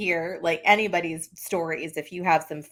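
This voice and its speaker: In an American accent, the voice has a bright, sharp tone and a fairly slow pace. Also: woman. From West Texas. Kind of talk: ghost story told in conversation.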